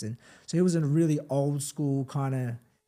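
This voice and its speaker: The speaker has an Australian accent and a dark, mellow tone. The pace is moderate and the intonation fairly even. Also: man. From Melbourne northern suburbs, Australia (born Philippines, arrived age four). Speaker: professional boxer. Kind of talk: interview, personal story. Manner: casual, many fillers and repetitions.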